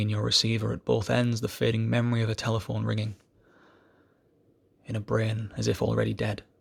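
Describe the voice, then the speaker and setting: Here a man is speaking. His pace is fairly quick. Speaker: amateur poetry reader. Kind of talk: reading aloud. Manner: fast.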